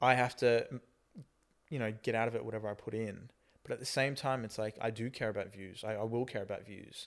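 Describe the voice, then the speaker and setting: The pace here is fairly quick, from a man with a medium pitch. His melody holds fairly even throughout. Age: 20s. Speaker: aspiring actor and vlogger. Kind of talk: casual chat.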